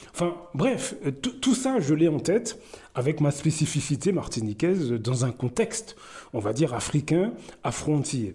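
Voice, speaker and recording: A man with a fairly high, somewhat breathy voice and a dark, mellow tone talks at a fairly slow pace, his pitch swinging very widely while his loudness stays very even. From Martinique, raised in the north by grandmother. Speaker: commentary YouTuber. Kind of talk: personal commentary monologue. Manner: hesitant, many fillers.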